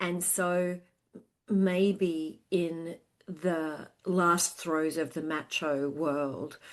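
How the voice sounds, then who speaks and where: A woman with an Australian accent speaks very slowly. Her fairly low voice keeps a fairly even intonation. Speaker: sales consultant. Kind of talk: casual interview chat. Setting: remote call, early morning. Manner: hesitant with fillers.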